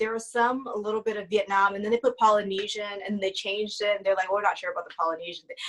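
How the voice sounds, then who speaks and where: A woman with an American accent, medium pitch, monotone, flat intonation, very fast pace, hardly any pauses, noticeable background noise. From US West Coast, Oakland, California. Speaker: actress. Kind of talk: casual chat. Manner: mellow.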